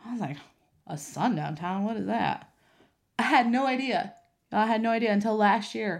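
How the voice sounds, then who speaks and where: A woman speaks at a fairly high pitch and moderate pace, with vocal fry and long, frequent pauses. Her tone is animated and her intonation lively, with audible room echo. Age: 30s. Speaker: podcast host and coach. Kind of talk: personal monologue.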